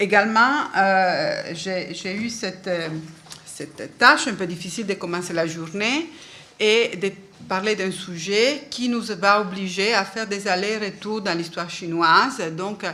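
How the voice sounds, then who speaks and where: A woman with a non-native accent speaks very slowly at a medium pitch with ordinary pitch variation, amid audible room echo and noticeable background noise. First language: not French (speaking French). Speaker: book historian, conference speaker. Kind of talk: academic lecture. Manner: halting, many hesitations.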